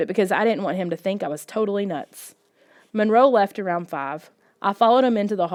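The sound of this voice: Over a quiet background, ordinary pitch variation runs through an unforced reading voice.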